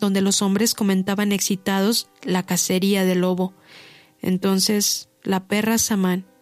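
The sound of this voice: Reading in an unforced voice.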